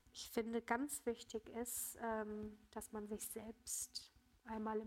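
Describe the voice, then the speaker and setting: A woman speaks at a very slow pace with a fairly high pitch. Her intonation is monotone and flat. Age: 20s. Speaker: cancer patient. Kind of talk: interview.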